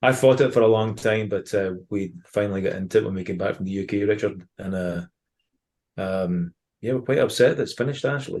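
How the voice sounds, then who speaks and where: Against a quiet background, a man with a strong Ayrshire accent talks at a fairly quick pace, his fairly low pitch showing ordinary variation. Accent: Ayrshire Scottish accent, still strong. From Scotland, Ayrshire. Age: 40s. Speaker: former professional footballer and baseball fan. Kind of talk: casual podcast interview.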